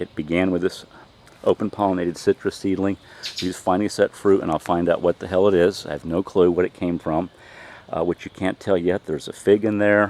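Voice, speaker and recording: A man's very deep, low voice in an American accent, fairly quick and monotone, with flat intonation. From Tampa, Florida. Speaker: urban gardener. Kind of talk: casual garden tour talk to camera.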